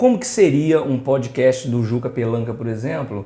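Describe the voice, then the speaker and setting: A man speaks at a fairly slow pace and a medium pitch. His tone is dark and mellow, and somewhat breathy. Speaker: podcast host. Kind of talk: podcast host talk.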